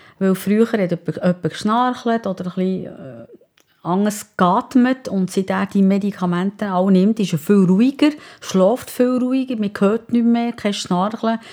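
Medium in pitch with a dark, mellow tone, a woman speaks at a fairly slow pace with ordinary pitch variation. The recording is very clean with a silent background. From Bern Seeland, Switzerland. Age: 60s. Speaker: wife of heart attack patient. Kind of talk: interview.

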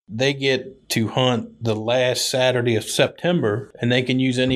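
Speaking with an American accent, a man keeps a moderate pace and medium pitch, his intonation monotone and flat. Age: 40s. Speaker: deer hunter. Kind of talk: casual chat.

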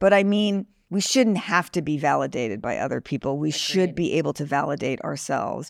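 A woman with a very deep, low pitch and vocal fry talks at a fairly quick pace with lively intonation, on a very clean recording with a silent background. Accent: American. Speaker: fashion influencer and writer. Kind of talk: casual interview chat. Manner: blunt, profane, animated.

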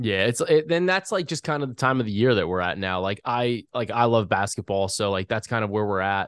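An ordinary speaking voice from a man at medium pitch, with lively intonation, a fairly quick pace and hardly any pauses, dry and close with no echo over a quiet background. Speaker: podcast host. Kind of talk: sponsored betting podcast chat.

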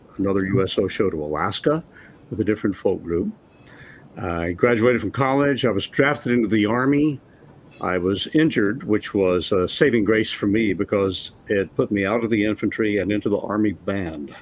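With an ordinary speaking voice, a man talks at a moderate pace, his fairly low pitch showing ordinary pitch variation. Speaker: former Kingston Trio musician. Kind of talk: casual interview chat. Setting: video call.

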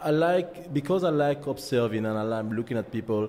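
A man speaks with a strong French accent. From Martinique. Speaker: photographer. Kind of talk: interview. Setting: studio. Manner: halting.

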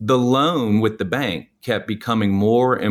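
With an American accent, a man with an unremarkable speaking voice talks at a fairly slow pace and a fairly low pitch, with ordinary pitch variation. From US South, New Orleans. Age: 40s. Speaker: real estate agent and investor. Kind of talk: interview.

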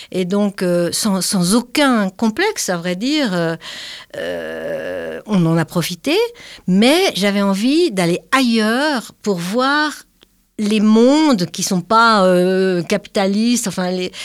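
A woman's lively intonation at a very slow pace, on a very clean recording with a silent background. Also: medium pitch for a woman. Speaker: retired climate activist. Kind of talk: casual chat.

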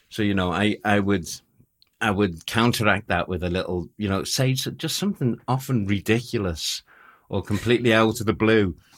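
In a Liverpool accent, a man speaks at a fairly low pitch with ordinary pitch variation. The recording is very clean, with a silent background. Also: moderate pace. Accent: Scouse (Liverpool). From Liverpool, England. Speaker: war photographer. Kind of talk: casual chat.

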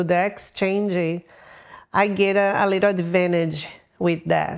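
A woman's medium-pitched voice in a Brazilian accent with fairly even intonation, in a very clean recording with a silent background. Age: 40s. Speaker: cosmetic surgery patient. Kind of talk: casual interview.

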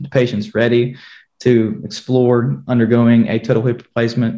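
His voice has a dark, mellow quality. This man's pitch sits in the medium range. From rural southwest Virginia. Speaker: physician assistant. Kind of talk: panel discussion, medical explanation.

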